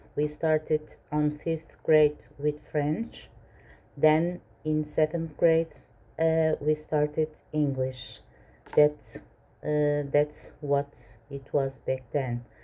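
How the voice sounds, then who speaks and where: A woman's very deep, low voice with a Portuguese accent, monotone, flat intonation, and a very slow pace. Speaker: minimalist vlogger. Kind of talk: Q&A vlog. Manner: hesitant, many fillers.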